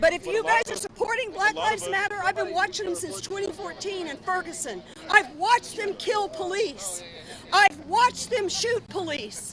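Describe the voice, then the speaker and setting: Over noticeable background noise, a woman with an extremely high pitch speaks in an animated tone at a moderate pace. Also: ordinary pitch variation. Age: 60s. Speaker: rally attendee. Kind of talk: street interview.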